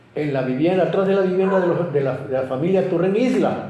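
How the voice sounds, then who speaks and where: In a room with audible echo, a man speaks with a high voice and lively intonation. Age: 80s+. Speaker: local historian. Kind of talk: interview. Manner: halting, with many repetitions.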